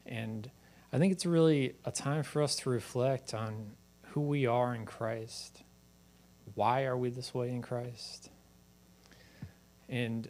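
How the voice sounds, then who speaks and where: Speech comes at a fairly slow pace with fairly even intonation. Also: man. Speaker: preacher. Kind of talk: sermon. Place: church. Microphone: handheld.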